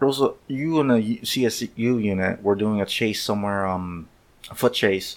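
Speaking in a plain, everyday voice, a man talks at a fairly low pitch with ordinary pitch variation. His pace is fairly slow. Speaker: podcast host, former police officer. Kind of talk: casual chat.

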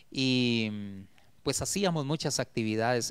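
The pace is fairly slow. The background is quiet. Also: man. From Guatemala, Esquipulas; Guatemala. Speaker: retired teacher and poet; retired teacher, poet. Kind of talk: interview. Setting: TV studio. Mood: warm, reflective. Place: studio. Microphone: handheld.

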